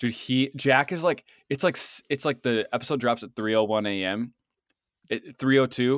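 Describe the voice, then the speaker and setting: On a very clean recording with a silent background, a man using an ordinary speaking voice talks at medium pitch and a moderate pace with ordinary pitch variation. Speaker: podcast co-host. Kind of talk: casual podcast chat.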